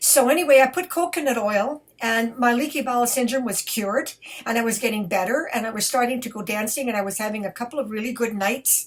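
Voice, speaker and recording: Her voice is high, and this woman speaks with ordinary pitch variation. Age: 70s. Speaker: belly dancer. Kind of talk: casual talk to camera.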